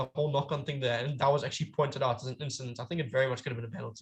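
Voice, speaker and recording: Somewhat breathy and fairly high in pitch, a man's voice rushes along at a very fast pace. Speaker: amateur rugby pundit. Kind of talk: casual chat. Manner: halting, self-correcting.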